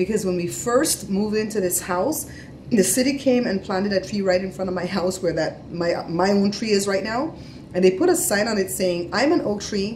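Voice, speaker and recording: Light background noise sits behind a woman talking at a moderate pace. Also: ordinary pitch variation. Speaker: family vlogger. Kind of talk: casual vlog chat. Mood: animated, storytelling. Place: home room. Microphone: phone near.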